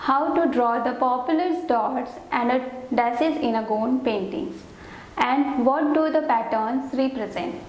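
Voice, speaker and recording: A woman speaks in a high pitch at a fairly slow pace, her loudness very even. Audible room echo and noticeable background noise surround her. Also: ordinary pitch variation. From India, Banaras (Varanasi). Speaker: art teacher, student artist. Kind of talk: course introduction. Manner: careful, non-native phrasing.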